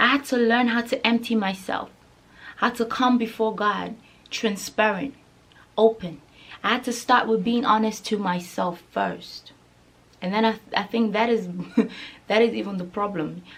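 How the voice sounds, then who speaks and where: A woman with a Nigerian accent speaks at a fairly high pitch and moderate pace, with fairly even intonation and long, frequent pauses. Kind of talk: casual talk to camera.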